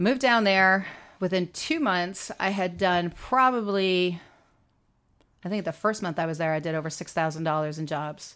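A woman speaks at a moderate pace in a plain, everyday voice with ordinary pitch variation, and the recording is very clean with a silent background. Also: medium pitch for a woman. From small-town Canada. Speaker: former model. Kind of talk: interview storytelling.

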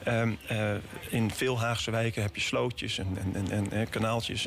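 A man with a fairly low voice talks in a fairly even tone while music plays in the background. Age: 30s. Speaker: city councillor. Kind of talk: radio interview. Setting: studio. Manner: halting.

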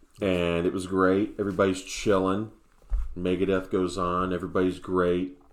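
Speaking at a moderate pace, a man with an American accent uses a very deep, low pitch and a monotone, flat intonation. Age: 30s. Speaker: podcast host. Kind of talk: casual chat.

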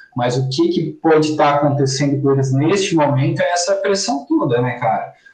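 A fairly high-pitched man speaks at a moderate pace with ordinary pitch variation and very even loudness. Noticeable background noise runs underneath. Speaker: football podcast co-host. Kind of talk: casual chat.

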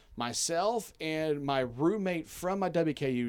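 With a Southern US accent, a man speaks with lively intonation. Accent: Southern US, noticeable twang. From Kentucky, US South. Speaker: university media relations staffer, guest. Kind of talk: casual sports podcast chat.

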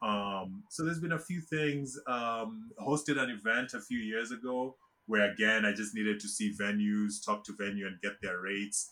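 Hardly pausing, a man talks at a moderate pace with a bright, sharp tone. His pitch is fairly low with ordinary variation. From Kenya. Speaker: tech entrepreneur. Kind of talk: interview.

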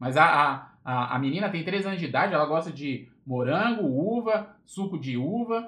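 With an unremarkable speaking voice, a man talks at a fairly slow pace with hardly any pauses, fairly high in pitch and lively in intonation. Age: 30s. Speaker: motivational podcaster. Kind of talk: casual livestream talk. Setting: Instagram live. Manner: casual, informal with filler words.

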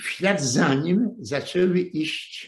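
A man's somewhat breathy voice, fairly high in pitch. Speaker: retired journalist lecturing on history. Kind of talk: lecture. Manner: halting, with repetitions.

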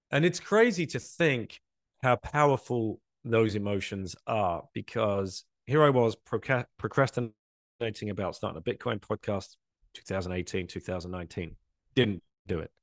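A man with a southeast English accent, fairly low in pitch, with lively intonation, a dry, close sound with no echo and a quiet background. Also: moderate pace. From England, Essex. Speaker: bitcoin advocate, former finance worker. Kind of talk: casual interview. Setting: video call.

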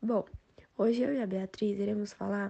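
A woman with a plain, everyday voice, medium in pitch and moderate in pace. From Brasília, Brazil. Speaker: student. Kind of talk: class presentation.

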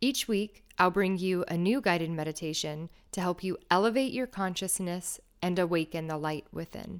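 A woman has an ordinary speaking voice with a fairly low pitch and ordinary pitch variation at a moderate pace. The recording is very clean, with a silent background. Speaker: meditation guide and podcast host. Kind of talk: guided meditation.

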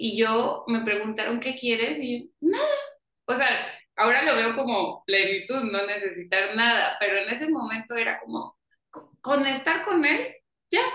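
The room echo is audible as a woman speaks in a bright, sharp tone. Her fairly high pitch carries lively intonation. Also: fairly slow pace. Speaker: podcast host. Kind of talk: casual interview chat. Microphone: audio and microphone problems.

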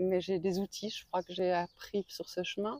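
A woman speaks at a medium pitch and a moderate pace in a flat monotone. Her tone is dark and mellow, and the sound is dry and close with no echo. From Belgium. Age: 40s. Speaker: pilgrim recounting her walk. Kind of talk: interview testimony. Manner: hesitant, many fillers.

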